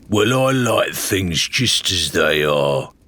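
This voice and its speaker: Using a put-on character voice, a man speaks fairly low at a very slow pace. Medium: read story. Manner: plaintive, simple-hearted.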